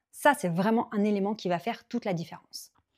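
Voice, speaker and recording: A woman's speech, ordinary in pitch variation, comes on a very clean recording with a silent background. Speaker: business coach and YouTuber. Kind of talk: YouTube tutorial. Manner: loud, high energy; animated.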